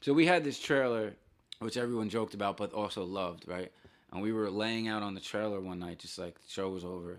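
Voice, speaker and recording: Fairly low male voice with a New Jersey accent and ordinary pitch variation. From northern New Jersey. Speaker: punk musician. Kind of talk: casual chat.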